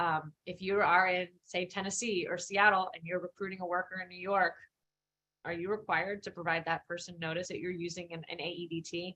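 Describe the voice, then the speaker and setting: A woman with an American accent speaks fairly quickly at a fairly low pitch, her bright, sharp tone delivered in monotone, flat intonation with big swings in loudness. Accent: Philadelphia accent, may come out. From Philadelphia, US. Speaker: employment lawyer, guest lecturer. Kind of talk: guest lecture. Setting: live-streamed online lecture. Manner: casual, many fillers and restarts.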